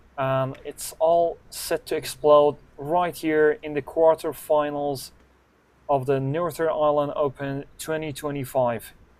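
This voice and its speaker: Here a man speaks at a fairly high pitch. His pace is fairly slow and his intonation monotone and flat. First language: not English. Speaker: snooker commentator. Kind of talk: live commentary. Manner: non-native, some hesitation.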